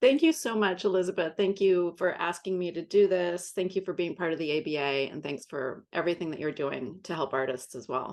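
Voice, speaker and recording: A woman with an unremarkable speaking voice talks at a fairly quick pace with hardly any pauses, her fairly low pitch moving in lively intonation against a quiet background. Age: 60s. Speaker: art business advisor. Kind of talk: interview.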